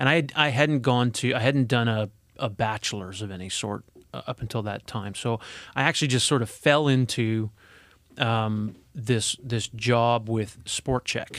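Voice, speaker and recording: A man with a Canadian accent in an unremarkable speaking voice, medium in pitch with ordinary pitch variation, at a fairly slow pace, on a very clean recording with a silent background. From Alberta, Canada. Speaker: corporate HR executive. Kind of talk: casual interview. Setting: studio.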